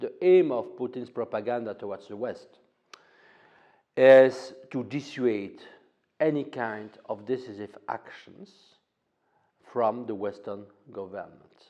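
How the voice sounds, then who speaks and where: A man speaks at a medium pitch with a dark, mellow tone, ordinary pitch variation and big swings in loudness. His pace is fairly slow, with long, frequent pauses. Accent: French. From France. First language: French. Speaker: political analyst. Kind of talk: interview. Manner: halting, many fillers.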